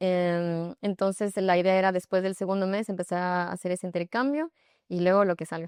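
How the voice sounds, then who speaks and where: A woman's unremarkable speaking voice, medium in pitch, with fairly even intonation at a moderate pace, in a dry, close sound with no echo against a quiet background. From Ecuador. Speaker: yoga instructor. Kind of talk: interview.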